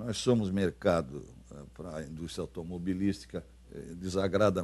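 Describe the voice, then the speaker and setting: Very deep and low in pitch, this man's voice has a dark, mellow tone with vocal fry. He speaks at a moderate pace. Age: 80s+. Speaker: former senator. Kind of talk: interview. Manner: halting, many fillers and repetitions.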